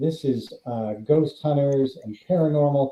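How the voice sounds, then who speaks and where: With an American accent and an ordinary speaking voice, a man talks at a fairly high pitch with lively intonation. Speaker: actor and horror author. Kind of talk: casual interview chat.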